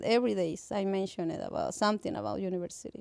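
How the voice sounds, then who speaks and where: Over noticeable background noise, a woman with a Mexican accent speaks at a fairly quick pace. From Mexico. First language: Spanish. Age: 30s. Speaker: parent educator. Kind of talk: radio interview. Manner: halting.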